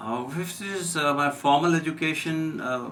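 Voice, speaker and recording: There is audible room echo as a man speaks at a moderate pace with lively intonation. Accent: Indian. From India. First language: Hindi. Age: 60s. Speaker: physician. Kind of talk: radio interview. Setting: radio studio.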